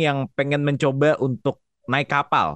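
A man speaks at a very slow pace. The sound is dry and close with no echo, over a quiet background. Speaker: podcast host. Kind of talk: casual chat.

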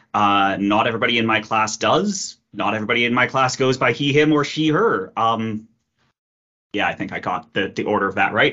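Someone with an Ontario accent talks at a fairly quick pace. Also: man, medium pitch for a man, ordinary pitch variation. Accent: Canadian (Ontario). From Kitchener, Ontario. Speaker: engineering lecturer. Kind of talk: interview, casual. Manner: hesitant, repetitive fillers.

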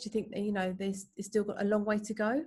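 Some breathiness colors the voice. The delivery stays flat and monotone. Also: woman. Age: 30s. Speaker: podcast host. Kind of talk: interview.

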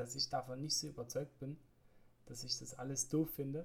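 A man with a fairly high pitch, a bright, sharp tone and a moderate pace. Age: 30s. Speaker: podcaster living with multiple sclerosis. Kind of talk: personal monologue podcast. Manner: hesitant, many filler sounds.

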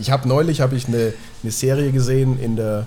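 A man speaks here. His tone is dark and mellow, and somewhat breathy. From Nuremberg, Franconia (Germany). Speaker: music producer and composer. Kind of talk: casual interview.

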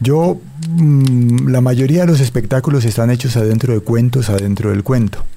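A man speaks in a Valle del Cauca Colombian accent. His loudness stays very even. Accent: Colombian Valle del Cauca (caleño) Spanish. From Colombia, Cali. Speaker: storyteller and writer. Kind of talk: interview with oral storytelling. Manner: expressive storytelling delivery.

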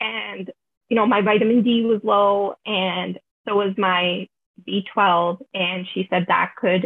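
A woman's plain, everyday voice at a medium pitch, with fairly even intonation. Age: 20s. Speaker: university student with chronic illness. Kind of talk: casual interview.

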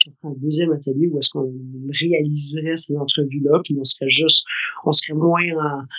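A man's fairly high voice in a monotone, flat intonation, at a fairly slow pace. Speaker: podcast co-host, school parent. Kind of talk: casual chat.

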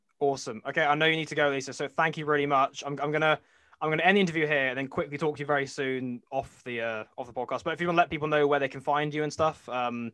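Pitched fairly high, a man speaks at a very fast pace. He leaves hardly any pauses. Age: 20s. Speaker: podcast host. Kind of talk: interview. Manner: halting.

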